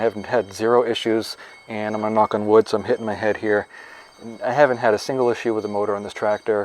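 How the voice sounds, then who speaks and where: Speaking very fast in a Maine accent, a man is heard over noticeable background noise. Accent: New England (Maine). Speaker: farmer. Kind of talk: product review.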